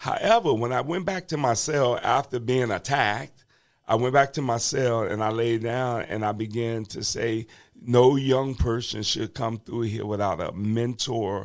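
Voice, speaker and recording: A man with a normal speaking voice and an American accent talks at a fairly slow pace in a medium pitch with ordinary pitch variation, in a very clean recording with a silent background. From Washington DC. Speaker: bishop and reentry advocate, former prisoner. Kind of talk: podcast interview, personal testimony. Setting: podcast studio. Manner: conversational, with many fillers.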